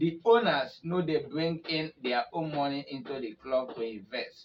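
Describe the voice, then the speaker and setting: In a normal speaking voice, a man talks with ordinary pitch variation. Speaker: football news presenter. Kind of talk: football news commentary in Nigerian Pidgin.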